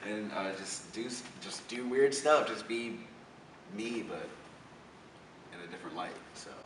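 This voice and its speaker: A man with an American accent at a medium pitch and fairly slow pace, with ordinary pitch variation, big swings in loudness, and long, frequent pauses, amid audible room echo and noticeable background noise. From Florida. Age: 20s. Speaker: social media comedian. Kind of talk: interview. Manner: casual, filler-heavy.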